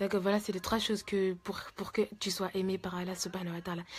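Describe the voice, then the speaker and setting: Soft-spoken, a woman talks at a fairly quick pace. Her pitch is medium and her intonation fairly even. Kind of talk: religious advice talk. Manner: halting.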